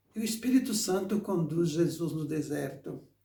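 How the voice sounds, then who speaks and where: A man with lively intonation, amid audible room echo. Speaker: preacher. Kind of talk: sermon. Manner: halting, with repetitions.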